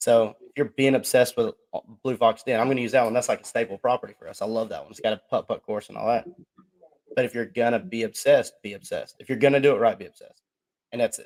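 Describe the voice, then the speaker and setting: Delivered at a very fast pace with big swings in loudness, the speech has a Southern accent and a dry, close sound with no echo. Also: man. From US South, Georgia. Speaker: podcast co-host. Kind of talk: casual chat. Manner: animated.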